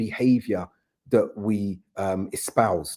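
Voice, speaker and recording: Medium-pitched man with a British accent and a dark, mellow tone on a very clean recording with a silent background. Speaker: community figure. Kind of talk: podcast conversation. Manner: animated.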